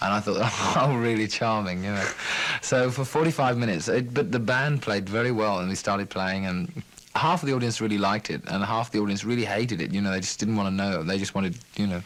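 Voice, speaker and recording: A man talks very fast at a fairly low pitch with ordinary pitch variation. Noticeable background noise sits behind him. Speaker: musician. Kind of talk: interview answer. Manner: soft-spoken, calming.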